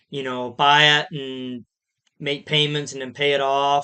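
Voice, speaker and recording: Against a quiet background, a man with an American accent speaks at a fairly slow pace, his fairly high pitch bright and sharp in tone with fairly even intonation. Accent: Amish accent noticed by viewers. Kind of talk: livestream Q&A. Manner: casual, conversational.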